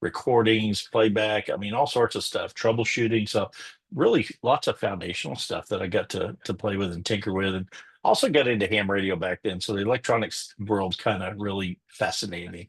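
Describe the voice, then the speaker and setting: This man has an ordinary speaking voice and talks at a fairly quick pace with ordinary pitch variation. The background is quiet. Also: fairly low pitch for a man. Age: 60s. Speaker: live production engineer and author. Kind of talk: live webinar presentation. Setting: live webinar.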